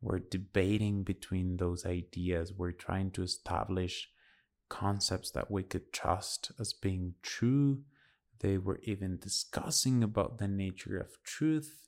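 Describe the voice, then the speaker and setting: A man in a Spanish accent speaks at a very slow pace with a very deep, low pitch. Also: ordinary pitch variation, very clean recording, silent background. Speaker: podcast host. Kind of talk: solo monologue.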